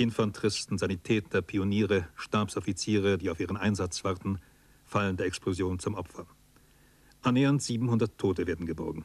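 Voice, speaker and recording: With an ordinary speaking voice, a man speaks at a moderate pace, his fairly low pitch held in fairly even intonation. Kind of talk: documentary narration. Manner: formal, measured, sober; steady, authoritative delivery.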